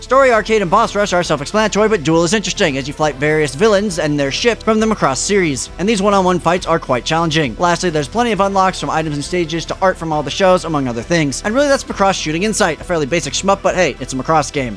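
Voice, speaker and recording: With music in the background, a man talks very fast in a high voice with lively intonation and hardly any pauses. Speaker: game reviewer. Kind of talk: video game review narration. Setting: home studio.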